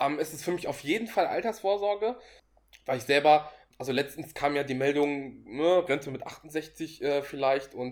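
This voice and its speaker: This man's voice sits at a fairly high pitch. It varies in pitch in an ordinary way. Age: 20s. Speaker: finance blogger and investor. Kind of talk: casual interview. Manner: hesitant, many filler sounds.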